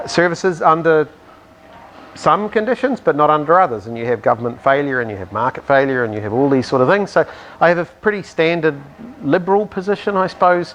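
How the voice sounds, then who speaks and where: Speaking very fast with very wide pitch swings, a man with a New Zealand accent is heard over noticeable background noise. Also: fairly high pitch for a man. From New Zealand, Southland. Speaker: climate scientist, professor. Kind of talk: interview. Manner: hesitant, many fillers.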